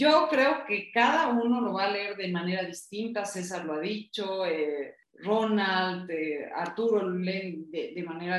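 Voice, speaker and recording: Audible room echo carries the voice of a woman speaking at a fairly slow pace. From Bolivia. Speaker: book club panelist. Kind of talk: casual book discussion.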